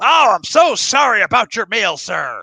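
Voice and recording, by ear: A man puts on a character voice with an American accent. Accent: exaggerated American.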